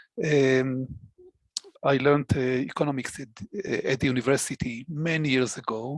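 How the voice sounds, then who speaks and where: A man at a medium pitch and moderate pace, fairly even intonation, long, frequent pauses. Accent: Israeli. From Israel. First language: Hebrew. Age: 60s. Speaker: database administrator. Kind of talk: interview conversation. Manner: halting, many fillers.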